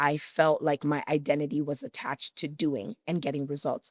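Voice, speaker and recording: A woman with a very deep, low pitch speaks at a moderate pace in a very clean recording with a silent background and a dry, close sound with no echo. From Canada (Toronto), Nigerian-Yoruba family. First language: Yoruba. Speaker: business strategist and coach. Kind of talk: podcast interview.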